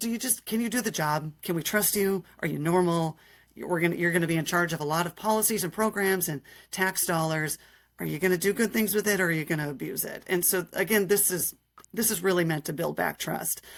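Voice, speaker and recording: Using an ordinary speaking voice with an American accent, a woman talks at a fairly quick pace with a fairly low pitch and ordinary pitch variation on a very clean, silent recording. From Minnesota. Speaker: state politician. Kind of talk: interview.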